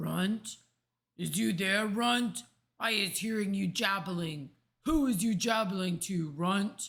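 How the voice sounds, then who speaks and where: A put-on character voice, raspy and at a middle pitch. It moves at a fairly slow pace. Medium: read story. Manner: loud, bullying, ungrammatical.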